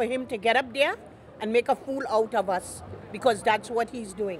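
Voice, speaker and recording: A woman speaks in a fairly high voice, with noticeable background noise behind her. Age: 70s. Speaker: street interviewee. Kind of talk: street interview.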